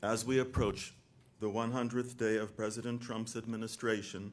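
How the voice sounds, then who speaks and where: Audible room echo surrounds a man speaking in a fairly low pitch with monotone, flat intonation. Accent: American. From US South, North Carolina. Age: 60s. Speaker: released hostage. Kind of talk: prepared statement. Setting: stage at press event.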